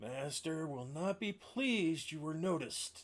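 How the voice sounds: A man puts on a gruff character voice at a fairly high pitch. He speaks at a moderate pace.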